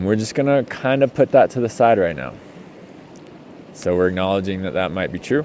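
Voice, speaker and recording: Noticeable background noise sits behind a man's voice. His tone is relaxed and his intonation lively. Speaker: healing and somatics coach. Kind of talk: casual off-the-cuff talk. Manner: slow; relaxed, hesitant with many ums.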